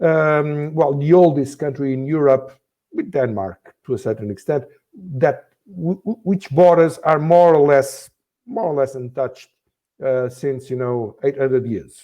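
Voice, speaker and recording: At a fairly slow pace, a man with a Portuguese accent speaks at a fairly high pitch in a dark, mellow tone with ordinary pitch variation. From Portugal, Azores. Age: 60s. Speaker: former politician, think tank director. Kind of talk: interview. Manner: halting, many fillers.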